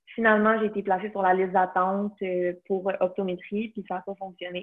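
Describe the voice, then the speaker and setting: A woman speaks at a moderate pace with a Quebec accent. Her pitch is medium, and her intonation is monotone and flat. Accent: Québécois French. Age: 20s. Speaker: nutrition student and CrossFit athlete. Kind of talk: casual interview.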